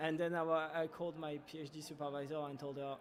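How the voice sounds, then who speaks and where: A man talks very fast in a French accent, his pitch fairly high. His intonation stays monotone and flat. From France. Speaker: startup founder. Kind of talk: casual interview. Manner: halting.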